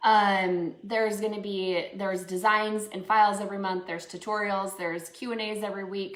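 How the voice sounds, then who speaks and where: Speaking in a Minnesotan accent, a woman talks at a fairly quick pace with hardly any pauses, a medium pitch and monotone, flat intonation. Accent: Minnesota. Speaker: crafts instructor and small business owner. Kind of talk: live painting tutorial. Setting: live stream. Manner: casual, many filler words.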